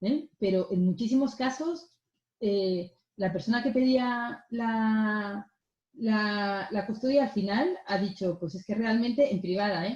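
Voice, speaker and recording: Somewhat breathy, a woman speaks at a very slow pace in a fairly high pitch with ordinary pitch variation. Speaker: mediator. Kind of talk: lecture.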